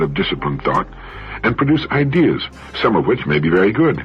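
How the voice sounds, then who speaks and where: Over music in the background, a man's voice swings very widely in pitch. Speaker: motivational speaker, radio host. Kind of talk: motivational radio talk. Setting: radio broadcast.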